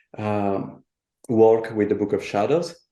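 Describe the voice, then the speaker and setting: A man with an Italian accent and a dark, mellow tone talks at a fairly slow pace and a fairly low pitch. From Italy, childhood partly in Buenos Aires. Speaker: artist and tarot deck designer. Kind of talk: interview. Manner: halting.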